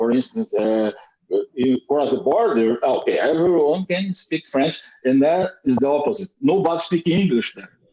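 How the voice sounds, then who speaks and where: The voice has a dark, mellow tone with a southern Brazilian accent. Its pitch swings very widely at a fairly slow pace. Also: man. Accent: Brazilian gaúcho accent in English. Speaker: Brazilian emigrant to Canada. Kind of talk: casual chat in English practice group. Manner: halting.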